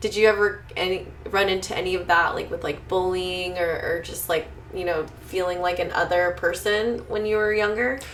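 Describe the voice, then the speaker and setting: There is noticeable background noise as a woman speaks in a medium pitch. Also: moderate pace. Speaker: podcast host. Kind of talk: casual podcast talk. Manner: upbeat.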